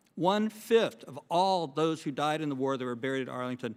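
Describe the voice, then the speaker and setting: The man talks at a very fast pace. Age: 60s. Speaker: Vietnam war veteran, former helicopter pilot. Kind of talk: congressional testimony. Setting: congressional hearing room. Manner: formal.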